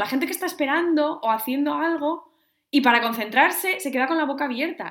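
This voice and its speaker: Pitch swings very widely as this woman talks. Her voice sits high. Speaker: podcast co-host. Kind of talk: casual chat.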